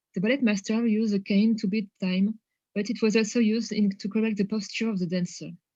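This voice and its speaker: In a strong French accent, a woman speaks with a fairly high pitch, a somewhat breathy, dark, mellow tone and monotone, flat intonation. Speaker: academic researcher presenting a paper. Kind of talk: conference presentation; reading a prepared text aloud. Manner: hesitant, many fillers.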